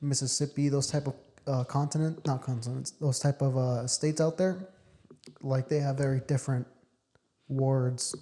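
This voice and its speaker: A man speaks at a moderate pace with fairly high pitch, a dark, mellow tone and some breathiness, his intonation monotone and flat, his loudness very even, with long, frequent pauses on a very clean recording over a silent background. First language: Spanish. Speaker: podcast host. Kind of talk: casual chat.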